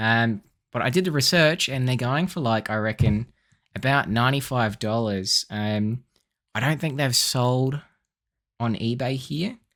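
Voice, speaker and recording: A man with an Australian accent speaks at a fairly slow pace. He leaves long, frequent pauses. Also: medium pitch for a man, ordinary pitch variation. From South Australia. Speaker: eBay reseller and vineyard worker. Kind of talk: casual haul video tutorial. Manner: casual, frequent fillers.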